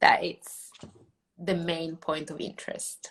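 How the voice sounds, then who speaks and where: A very slow delivery with an Italian accent. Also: woman. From Italy. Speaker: food photographer and educator. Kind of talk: tutorial. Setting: live online session. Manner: halting.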